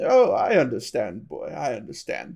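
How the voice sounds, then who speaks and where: A man puts on a character voice, delivering it at a moderate pace. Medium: read story.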